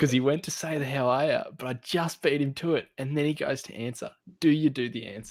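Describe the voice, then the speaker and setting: Using fairly even intonation, a man with a fairly high pitch talks at a fairly quick pace. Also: big swings in loudness. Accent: Australian. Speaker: podcast co-host. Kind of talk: casual chat.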